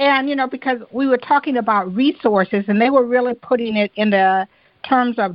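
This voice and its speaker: An ordinary speaking voice with an American accent, moderate pace and ordinary pitch variation. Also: woman. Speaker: podcast host. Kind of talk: interview.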